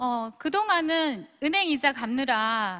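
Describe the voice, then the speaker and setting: A woman's raised, projected voice, high-pitched with a bright, sharp tone, on a very clean recording with a silent background. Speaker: former teacher and direct-sales business leader. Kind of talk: motivational speech to audience.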